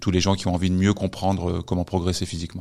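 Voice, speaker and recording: A man's very deep, low pitch comes through in a very clean recording with a silent background. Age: 40s. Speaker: strength and conditioning coach. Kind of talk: casual interview.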